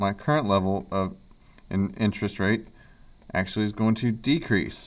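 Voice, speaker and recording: Fairly low male speech with ordinary pitch variation. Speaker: economics teacher. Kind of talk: tutorial. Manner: fast.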